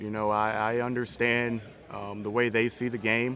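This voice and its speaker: Medium in pitch with fairly even intonation, a man with an American accent speaks in a normal speaking voice. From Virginia, US. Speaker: head coach. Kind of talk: casual interview.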